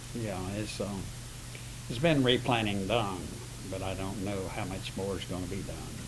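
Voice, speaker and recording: A man with a rural Florida accent and fairly low pitch, at a moderate pace with ordinary pitch variation and long, frequent pauses, amid noticeable background noise and audible room echo. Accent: US Southern, rural Florida. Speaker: retired citrus grower. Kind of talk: oral history interview.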